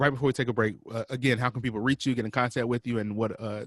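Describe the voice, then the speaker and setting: A man speaks at a very fast pace with fairly even intonation. The sound is dry and close with no echo. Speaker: radio show host. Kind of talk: radio interview. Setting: radio studio, pre-recorded. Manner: stuttering.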